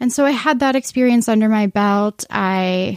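A woman with an American accent talks in an unremarkable speaking voice at a moderate pace. Her intonation is fairly even, and the sound is dry and close, with no echo. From Arizona, Phoenix area. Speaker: newspaper features editor. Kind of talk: casual interview chat.

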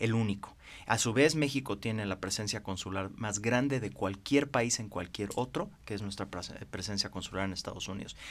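A man with a fairly low pitch talks at a moderate pace with hardly any pauses. His pitch varies in an ordinary way. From Mexico. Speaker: financier and former congressman; interview guest, former politician. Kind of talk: interview. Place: studio. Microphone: podium.

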